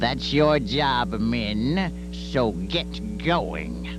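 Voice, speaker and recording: Over loud background noise, a man performs in a put-on character voice. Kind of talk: children's story reading. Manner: blustering, commanding.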